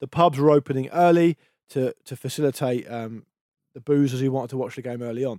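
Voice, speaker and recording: A man with an English accent and a dark, mellow tone at a fairly quick pace, with big swings in loudness and a dry, close sound with no echo. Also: medium pitch for a man, fairly even intonation. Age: 40s. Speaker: podcast co-host. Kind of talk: casual chat.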